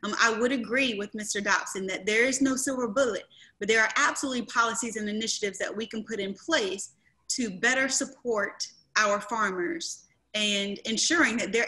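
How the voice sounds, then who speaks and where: With an American accent and a bright, sharp tone, the voice moves at a moderate pace with ordinary pitch variation. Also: woman. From rural eastern North Carolina. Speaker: county commissioner and candidate; candidate. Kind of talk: candidate forum. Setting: video call. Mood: earnest, measured. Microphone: video call.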